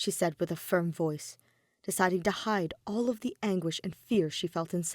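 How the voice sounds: Pitch varies in an ordinary way as someone reads in a natural reading voice.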